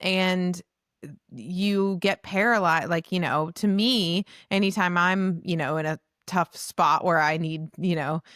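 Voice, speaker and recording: In a plain, everyday voice, a woman talks at a fairly slow pace and fairly low pitch with ordinary pitch variation, the sound dry and close with no echo and the recording very clean with a silent background. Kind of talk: podcast conversation between two hosts.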